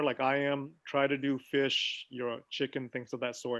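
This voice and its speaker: Fairly high-pitched man at a fairly slow pace. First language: not English. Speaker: physician. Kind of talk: health talk on a video call. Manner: casual, conversational.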